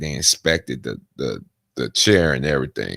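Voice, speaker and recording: On a very clean recording with a silent background and a dry, close sound with no echo, a man uses vocal fry and lively intonation at a fairly slow pace. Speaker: veteran streamer. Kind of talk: casual livestream chat. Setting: at home, seated in chair. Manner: halting, repetitive.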